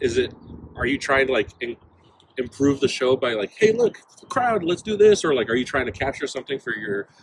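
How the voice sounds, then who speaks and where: A man with an American accent talks at a very fast pace with ordinary pitch variation over noticeable background noise. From Mexican heritage, US (Portland). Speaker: musician (saxophone player in a band). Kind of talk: casual interview chat. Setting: on-site at a festival.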